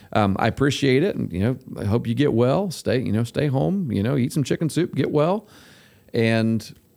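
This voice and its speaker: A man with an unremarkable speaking voice talks at a fairly quick pace with lively intonation. The recording is very clean with a silent background. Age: 40s. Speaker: podcast host, coach. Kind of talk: casual chat.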